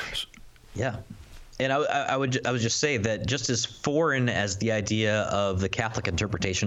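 Over noticeable background noise, a man talks at a fairly quick pace in a fairly low voice with ordinary pitch variation. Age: 30s. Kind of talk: casual chat.

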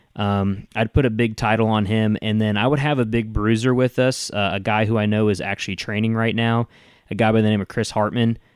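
With a Southern US accent, a man speaks in a fairly low, monotone, flat voice at very even loudness. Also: very clean recording, silent background. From Tennessee. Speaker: podcast host. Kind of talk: casual interview chat.

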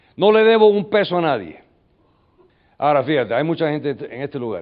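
Here is a man with a fairly high pitch and an animated tone. His intonation is lively. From US, New York. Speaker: business leader and military veteran. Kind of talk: motivational talk. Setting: stage with audience.

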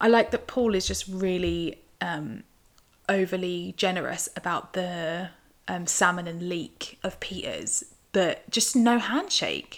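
This woman speaks with a British accent. Her pace is very slow. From UK. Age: 20s. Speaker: podcast host. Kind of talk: solo casual commentary.

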